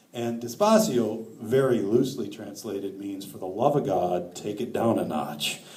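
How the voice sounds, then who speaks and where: A moderate pace in an American accent, with noticeable background noise and audible room echo. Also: man. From northern Wisconsin. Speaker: author. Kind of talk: lecture.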